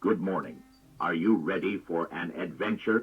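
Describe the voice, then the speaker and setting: A put-on character voice from a man, very deep and low, delivered at a moderate pace. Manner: flat, robotic yet friendly.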